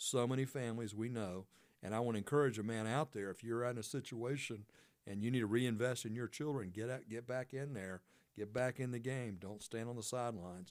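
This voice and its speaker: A man talks at a fairly quick pace in an ordinary speaking voice, pitched medium with fairly even intonation. The recording is very clean, with a silent background. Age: 60s. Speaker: radio talk show host. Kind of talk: faith-based interview chat. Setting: radio studio.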